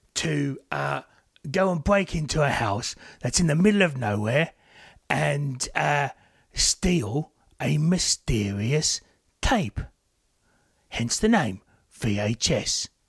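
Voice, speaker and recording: Using a put-on character voice at a fairly high pitch, a man speaks at a very slow pace with long, frequent pauses. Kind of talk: casual podcast review. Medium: talk show. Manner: chatty, jokey, rambling.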